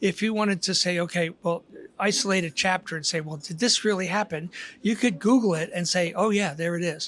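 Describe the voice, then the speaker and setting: High male voice at a fairly quick pace, with ordinary pitch variation. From Philadelphia, US. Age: 70s. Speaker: author. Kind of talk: casual interview.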